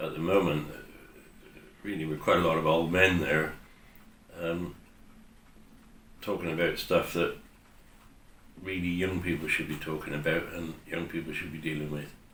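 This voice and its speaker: A man speaks in a very deep, low voice with monotone, flat intonation at a moderate pace. Long, frequent pauses break his speech, and the room echo is audible. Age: 70s. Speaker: parish councillor. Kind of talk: interview.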